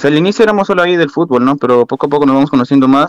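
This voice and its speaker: A man with a Lima accent speaks with lively intonation. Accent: Peruvian (Lima) Spanish. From Peru, Lima. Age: 20s. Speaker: university student and amateur footballer. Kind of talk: casual interview.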